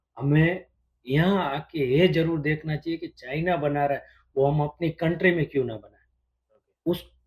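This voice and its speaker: Big swings in loudness mark a man's somewhat breathy, fairly high voice with lively intonation. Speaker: businessman and sourcing agent in China. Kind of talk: casual interview conversation.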